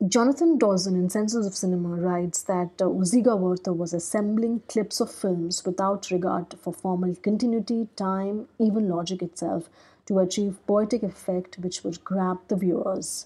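A woman's medium-pitched, dark and mellow voice with an Indian accent, somewhat breathy, at a moderate pace with hardly any pauses, fairly even intonation and a quiet background. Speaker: podcast host. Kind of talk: solo podcast talk on film history. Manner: hesitant, frequent fillers and repetitions.

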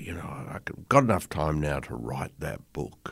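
Speaking with an Australian accent, a man uses vocal fry and very wide pitch swings at a moderate pace. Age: 60s. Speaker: podcast host. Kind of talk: interview.

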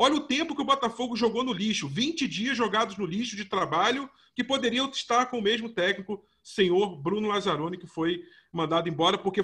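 With a bright, sharp, animated tone, a man speaks at a high pitch with ordinary pitch variation over a quiet background. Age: 30s. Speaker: sports podcast host. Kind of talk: casual sports discussion.

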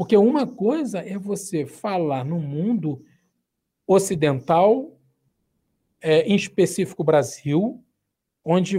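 Very slowly, a man speaks at a high pitch with lively intonation and a dark, mellow tone. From Brazil, Rio de Janeiro. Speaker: pastor, mission agency director. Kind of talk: interview. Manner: halting.

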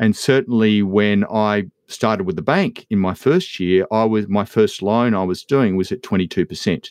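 In an Australian accent, a man with a fairly low pitch speaks with hardly any pauses and ordinary pitch variation. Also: moderate pace, quiet background. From Western Victoria, Australia. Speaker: agribusiness educator. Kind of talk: interview. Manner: halting, repeats words.

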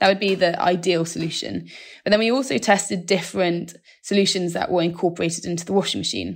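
Vocal fry colors this fairly quick delivery, whose intonation stays fairly even, on a very clean recording with a silent background. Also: woman. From South West England, near Bristol. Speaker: marine scientist. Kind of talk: interview.

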